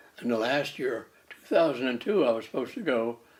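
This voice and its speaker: A man of medium pitch talks at a fairly quick pace. Noticeable background noise runs underneath. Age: 90s. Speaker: ham radio operator. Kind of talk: interview. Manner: halting.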